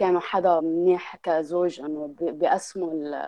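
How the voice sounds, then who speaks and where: The woman speaks fairly slowly, keeping her intonation fairly even. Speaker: podcast guest. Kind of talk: casual chat. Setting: online call.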